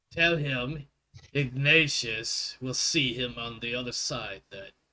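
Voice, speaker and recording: Using a put-on character voice, a man talks at a medium pitch. His pace is fairly slow. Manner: stoic.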